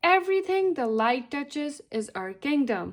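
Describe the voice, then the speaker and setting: The woman's pitch runs high. She is doing a put-on character voice. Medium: read story.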